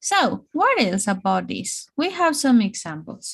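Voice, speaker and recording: A woman with a Spanish accent speaks at a fairly high pitch over a quiet background. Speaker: English teacher. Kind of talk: online English lesson. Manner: slow, repetitive.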